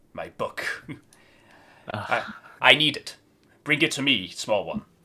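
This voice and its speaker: A man puts on a character voice, talking fairly slowly at a fairly high pitch. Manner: commanding.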